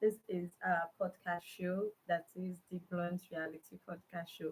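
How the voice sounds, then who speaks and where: Speaking in a Nigerian accent, a woman sounds somewhat breathy at a fairly slow pace with monotone, flat intonation. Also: fairly low pitch for a woman. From Nigeria (Igbo). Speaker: podcast host. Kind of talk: live stream talk. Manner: halting.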